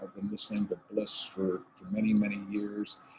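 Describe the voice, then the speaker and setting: A man talks at a moderate pace. Noticeable background noise runs beneath him. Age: 60s. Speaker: environmental speaker. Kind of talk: impassioned talk.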